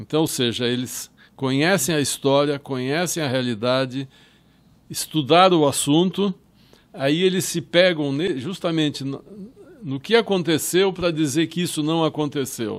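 A man at a fairly high pitch, with ordinary pitch variation, a fairly slow pace and long, frequent pauses. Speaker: filmmaker and Holocaust historian. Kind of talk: interview.

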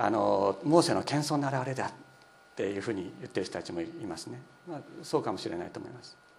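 A man speaks very fast at a medium pitch, his voice swinging very widely in pitch and heavily in loudness, with noticeable background noise and audible room echo. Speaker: pastor. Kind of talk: sermon.

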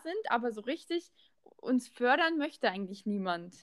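Speaking at a moderate pace, a woman with a high voice uses lively intonation, heard in a dry, close sound with no echo. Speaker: podcast host, former footballer. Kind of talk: casual chat. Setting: remote call.

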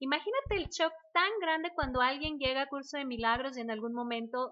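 A woman with a high voice swings her pitch very widely while keeping a moderate pace. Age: 70s. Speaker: spiritual course teacher and therapist. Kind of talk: casual chat.

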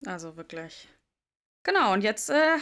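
The recording is very clean with a silent background, and a woman speaks with very wide pitch swings. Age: 20s. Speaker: podcast co-host. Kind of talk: casual chat.

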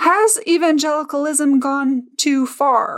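At a fairly slow pace, the talker performs in a put-on character voice. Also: woman, high pitch for a woman. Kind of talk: formal broadcast delivery. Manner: polished, authoritative.

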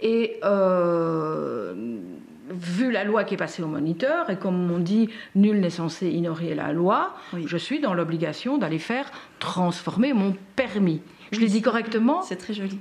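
Very slow speech over noticeable background noise. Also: woman, medium pitch for a woman. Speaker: podcast host and patient advocate. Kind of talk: live-stream interview. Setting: Facebook live stream.

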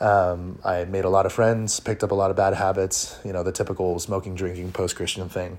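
A man's very deep, low voice at a fairly quick pace, monotone and flat in intonation. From US West Coast, Orange County, California. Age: 20s. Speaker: artist. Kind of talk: personal testimony. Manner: halting, many fillers and repeats.

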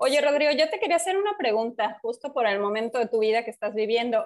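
A woman speaks at a fairly quick pace in an unremarkable speaking voice, her pitch fairly high with ordinary variation. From Mexico, Yucatán (Mérida). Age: 30s. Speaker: podcast co-host. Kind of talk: casual chat.

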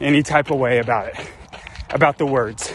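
A man with ordinary pitch variation keeps a moderate pace, while noticeable background noise sits behind him. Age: 30s. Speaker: friend of the host, athlete. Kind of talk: recorded video message. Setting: outdoors on a morning run.

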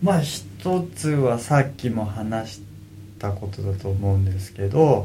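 Through audible room echo, a man speaks fairly slowly in a fairly low, dark, mellow voice that is somewhat breathy, with ordinary pitch variation. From Kanagawa, Japan (Kugenuma, Fujisawa). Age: 30s. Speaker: professional surfer. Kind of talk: interview. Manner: casual.

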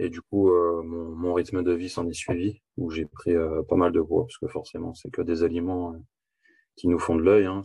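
Against a quiet background, a man speaks fairly slowly in a very deep, low pitch, somewhat breathy, with a dark, mellow tone and fairly even intonation. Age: 20s. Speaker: coaching client giving a testimonial. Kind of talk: testimony. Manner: halting.

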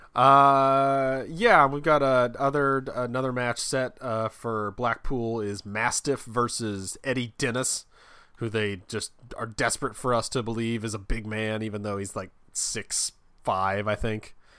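A man at medium pitch with a bright, sharp tone, speaking at a fairly slow pace in a very clean recording with a silent background. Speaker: wrestling podcast host. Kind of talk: casual banter. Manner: animated, rambling.

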